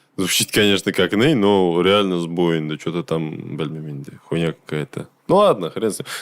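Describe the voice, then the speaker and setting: Pitch rises and falls in an ordinary way, and the delivery keeps to a moderate pace. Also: man. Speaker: gaming streamer. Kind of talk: casual gameplay stream commentary. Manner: loud; casual, swearing, halting with fillers.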